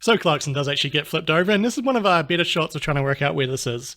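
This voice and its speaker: With a New Zealand accent, a man talks at a very fast pace in a bright, sharp, upbeat tone. His pitch is fairly high, his intonation is lively, and the recording is very clean with a silent background. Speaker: YouTuber. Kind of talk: video commentary. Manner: casual, upbeat.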